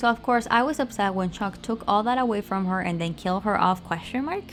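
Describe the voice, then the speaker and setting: Over music in the background, a woman speaks at a fairly quick pace in a medium pitch with ordinary pitch variation. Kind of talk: fan commentary rant over speedpaint. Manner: fast.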